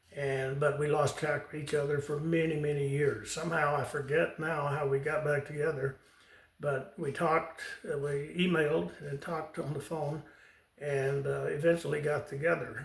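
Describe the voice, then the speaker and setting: Over noticeable background noise, a man talks with fairly even intonation at a fairly high pitch. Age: 80s+. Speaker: retired Marine pilot and author. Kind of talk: memoir storytelling to camera. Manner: unhurried, conversational with hesitations.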